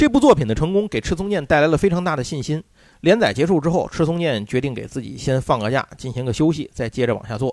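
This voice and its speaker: Lively intonation marks this man's fairly high voice. He speaks at a very fast pace. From Tianjin, China. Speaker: podcast host. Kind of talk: casual chat.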